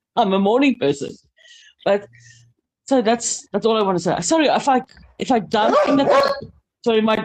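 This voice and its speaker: Here is a woman with a South African accent and a medium pitch, using lively intonation. She talks at a fairly quick pace but leaves long, frequent pauses. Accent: Afrikaans-accented English, noticeable. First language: Afrikaans. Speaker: panel guest. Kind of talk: casual panel chat. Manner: halting.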